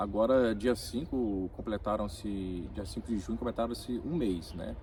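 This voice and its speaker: At a moderate pace, a man talks in a fairly low, somewhat breathy voice with ordinary pitch variation. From Brazil, Minas Gerais (Ipatinga), born in Rio de Janeiro. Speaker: immigrant worker. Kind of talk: interview. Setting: in-person conversation in Vilamoura.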